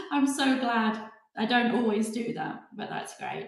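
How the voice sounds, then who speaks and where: A woman speaks at a fairly slow pace with a British accent. Audible room echo surrounds her voice. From UK. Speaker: hypnotherapy trainer. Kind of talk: webinar presentation. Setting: online webinar.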